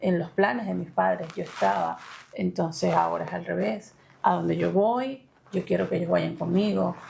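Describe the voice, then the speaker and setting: The speaker talks at a moderate pace in a Maracaibo accent. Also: woman. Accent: Maracaibo (maracucho) Venezuelan. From Venezuela, Maracaibo (Zulia). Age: 30s. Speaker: interviewee sharing education story. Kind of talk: interview. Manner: hesitant, many fillers.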